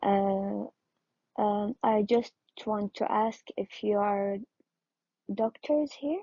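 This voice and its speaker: A somewhat breathy woman's voice of medium pitch with a non-native accent, very slow pace, and long, frequent pauses. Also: ordinary pitch variation. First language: not English. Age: 20s. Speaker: audience member with sickle cell. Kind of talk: question from audience. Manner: hesitant.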